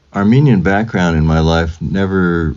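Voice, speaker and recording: A man with a Californian accent speaks in a very deep, low voice at a moderate pace. Noticeable background noise runs under him. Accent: Californian American. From US West Coast (Fresno, California). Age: 70s. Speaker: composer. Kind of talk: interview.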